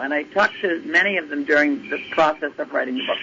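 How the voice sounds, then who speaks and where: A woman with an American accent speaks in very wide pitch swings over noticeable background noise. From Massachusetts. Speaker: retired basketball coach. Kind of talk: interview.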